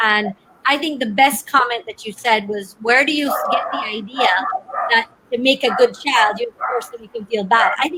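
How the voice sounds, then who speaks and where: A woman speaks at a moderate pace. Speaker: webinar host. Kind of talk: panel discussion. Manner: loud.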